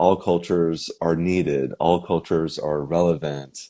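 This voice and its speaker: With an American accent, a man speaks at a very deep, low pitch. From US West Coast, Topanga Canyon, California. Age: 40s. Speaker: musician. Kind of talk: interview. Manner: halting, many fillers.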